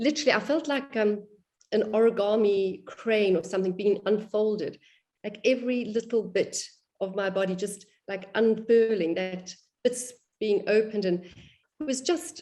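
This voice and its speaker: A woman's ordinary speaking voice, fairly high in pitch, with ordinary pitch variation and a moderate pace. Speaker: qigong student in instructor training. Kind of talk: group discussion of experiences.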